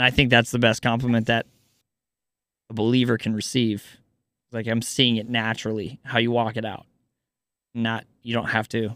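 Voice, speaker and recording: With an American accent, a man speaks at a moderate pace in a monotone, flat intonation, leaving long, frequent pauses, the sound dry and close with no echo and the recording very clean over a silent background. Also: medium pitch for a man. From US Midwest. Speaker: podcast host. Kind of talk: casual interview chat.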